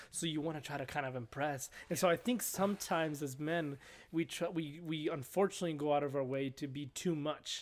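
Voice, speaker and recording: With a Spanish accent, a man speaks at a fairly quick pace with hardly any pauses. His fairly high voice has ordinary pitch variation, and the recording is very clean with a silent background. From Mexico. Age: 20s. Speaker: guest, apartment property manager. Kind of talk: casual chat. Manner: talkative, humorous, halting with repeats.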